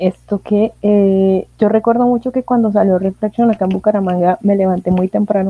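Dry and close with no echo, a woman's dark, mellow, medium-pitched voice runs at a fairly quick pace in a flat monotone. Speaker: podcast host. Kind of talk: casual chat.

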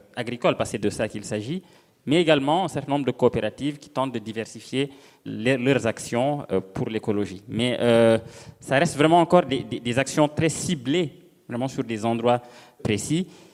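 This man talks at a moderate pace and medium pitch, with ordinary pitch variation and long, frequent pauses. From Senegal. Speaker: novelist. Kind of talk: panel discussion.

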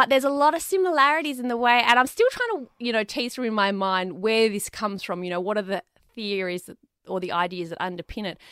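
In an Australian accent, a woman talks at a very fast pace with a fairly high pitch, a bright, sharp tone, lively intonation and big swings in loudness, on a very clean recording with a silent background. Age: 30s. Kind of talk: interview conversation.

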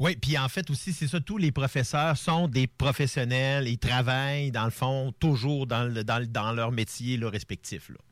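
On a very clean recording with a silent background, a man with a Quebec accent speaks fairly slowly and with hardly any pauses, at a medium pitch that varies in an ordinary way. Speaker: TV columnist.

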